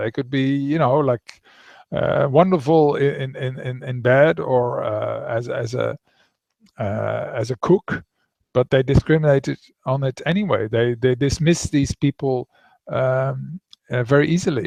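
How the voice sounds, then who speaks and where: With a Dutch accent, a man talks at a fairly slow pace in a fairly high voice with ordinary pitch variation, recorded dry and close with no echo. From Netherlands. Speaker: author. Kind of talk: interview. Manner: halting.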